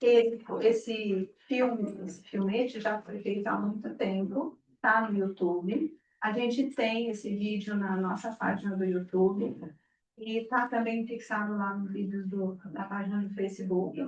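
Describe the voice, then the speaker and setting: A woman at a medium pitch, fairly slow in pace, with fairly even intonation. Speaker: spiritist center leader. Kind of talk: talk to gathering. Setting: room with audience, no PA. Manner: projecting loudly.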